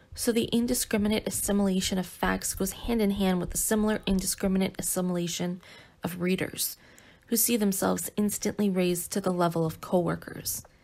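At a fairly quick pace, a woman speaks at a medium pitch with monotone, flat intonation. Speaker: audiobook reader. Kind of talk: philosophical essay reading.

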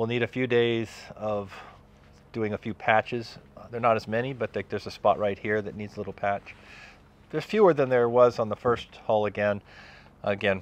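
Delivered at a moderate pace, the sound is dry with no echo. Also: man. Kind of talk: casual vlog chat. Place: workshop.

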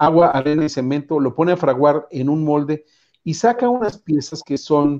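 A man with a fairly high pitch and a dark, mellow tone speaks at a fairly slow pace with ordinary pitch variation over a quiet background. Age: 60s. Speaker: entrepreneur, invited speaker; speaker. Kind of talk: lecture. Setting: video call. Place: home room. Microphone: earbuds.

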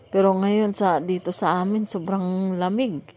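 This woman talks at a very slow pace with a dark, mellow tone, a medium pitch and a monotone, flat intonation. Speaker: vlogger. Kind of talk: casual vlog narration.

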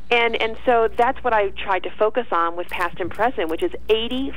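Over noticeable background noise, a woman with an American accent speaks fairly quickly in an upbeat tone. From New York. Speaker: journalist and author. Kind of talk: radio interview. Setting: phone call.

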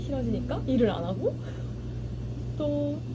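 There's loud background noise throughout. Through it, a woman talks. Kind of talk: casual vlog chat. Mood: reflective, slightly worried. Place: cafe. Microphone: camera far.

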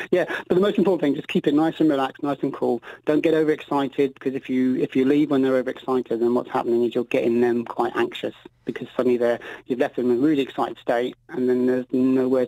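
Very fast and fairly even, a man's dark, mellow voice comes through dry with no echo. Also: quiet background. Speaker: guest. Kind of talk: interview answer. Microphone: phone line.

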